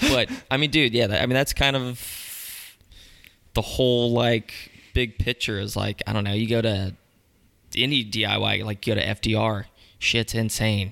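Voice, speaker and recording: A man with an American accent talks at a moderate pace and a medium pitch. His tone is bright and sharp, with vocal fry. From North Carolina, Charlotte and Mooresville. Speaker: skatepark builder and skateboarder. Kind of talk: casual chat. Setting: home recording.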